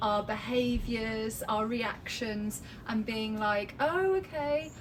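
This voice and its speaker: A woman with a fairly high pitch speaks at a very slow pace. Noticeable background noise and audible room echo surround her. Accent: London. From England. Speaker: cancer patient. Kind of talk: casual chat. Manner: halting.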